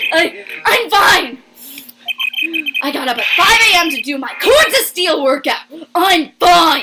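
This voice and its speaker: A put-on character voice, raspy and shrill, sits at an extremely high pitch. It moves at a very slow pace. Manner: defensive, overwrought.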